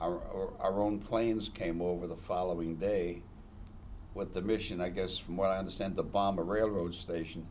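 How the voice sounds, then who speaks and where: At a fairly slow pace, a man talks with a very deep, low pitch. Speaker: war veteran. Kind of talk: interview answer.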